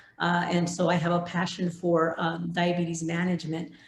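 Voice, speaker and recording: At a moderate pace, the speech carries audible room echo and noticeable background noise. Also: woman. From Arizona border region, Nogales. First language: Spanish. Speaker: pharmacist, professional association president. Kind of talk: keynote talk. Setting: virtual conference presentation with slides. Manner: hesitant, many fillers.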